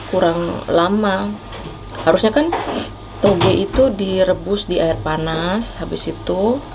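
A woman speaks with ordinary pitch variation. Noticeable background noise is present. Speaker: food vlogger. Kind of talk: casual vlog chat. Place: cafe. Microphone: phone near.

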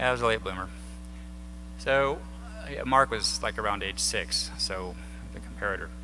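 A man speaks with an American accent at a moderate pace, leaving long, frequent pauses. Light background noise is present. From southern Illinois. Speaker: air force veteran and activist. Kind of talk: lecture. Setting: stage with audience. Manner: conversational. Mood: reflective, personal. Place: hall. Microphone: podium.

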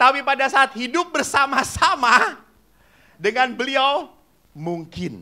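The pace is very slow. The speaker is a man. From Indonesia, Java; Indonesia. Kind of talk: sermon. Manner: animated. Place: hall. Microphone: handheld.

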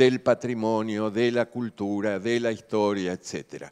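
Very slow speech from a man at a fairly low pitch, fairly even intonation, quiet background. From Argentina. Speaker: architect, heritage professor; heritage professor. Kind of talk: conference talk. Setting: conference stage with audience. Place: hall. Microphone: headset.

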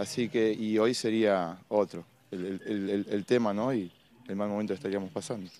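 Fairly low-pitched and dark and mellow in tone, a man speaks at a moderate pace with fairly even intonation in a dry sound with no echo. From Buenos Aires area, Argentina (Lanús); Buenos Aires. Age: 50s. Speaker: crime victim's partner. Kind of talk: live TV street interview. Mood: upset, indignant.

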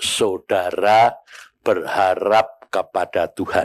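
A man talks while the background stays quiet. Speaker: preacher. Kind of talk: sermon. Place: church. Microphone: handheld.

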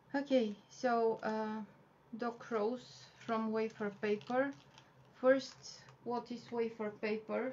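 Spoken with a Bulgarian accent, the words come at a very slow pace with fairly even intonation. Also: woman, fairly high pitch for a woman. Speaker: wafer paper flower artist and teacher; cake decorating instructor. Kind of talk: tutorial. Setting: live video stream from home. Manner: halting, many fillers. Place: home room.

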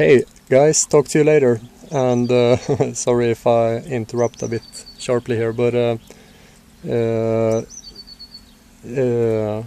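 Speaking at a very slow pace with long, frequent pauses, a man keeps a medium pitch and fairly even intonation. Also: dry sound with no echo. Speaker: vlogger. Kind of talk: casual vlog monologue. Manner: halting, many fillers; dull, low energy. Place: street. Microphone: phone near.

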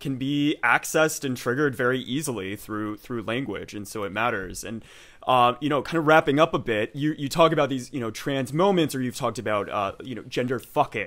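Against a quiet background, a man with an American accent talks at a fairly quick pace with hardly any pauses and ordinary pitch variation. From Texas. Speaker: historian and podcast host; host, interviewer. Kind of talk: interview. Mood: upbeat, friendly. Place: home room. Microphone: studio mic.

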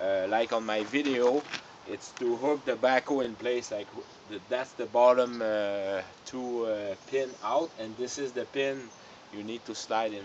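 A fairly slow pace and fairly even intonation over light background noise. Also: man. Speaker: tractor owner. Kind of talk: tutorial. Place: garden. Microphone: camera far.

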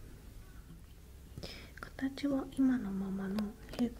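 A woman speaks softly. Noticeable background noise can be heard. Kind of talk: soft-spoken roleplay address to viewer. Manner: soft close-mic ASMR roleplay voice. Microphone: earbuds.

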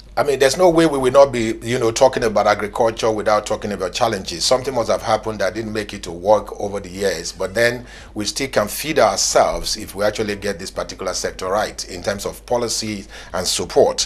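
A man talks very fast, his loudness swinging widely. Noticeable background noise runs underneath. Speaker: TV business show presenter. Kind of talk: TV interview and presenting.

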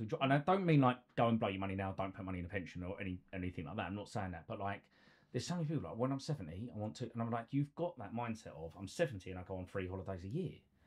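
Very fast and full of lively intonation, a man talks at a fairly low pitch with a slightly husky edge.

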